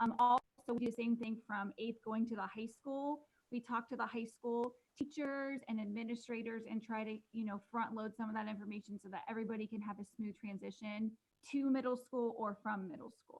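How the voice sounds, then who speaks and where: At a fairly quick pace, a woman talks with monotone, flat intonation in a fairly high, somewhat breathy voice. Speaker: middle school administrator. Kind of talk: panel discussion. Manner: soft-spoken. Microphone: too quiet.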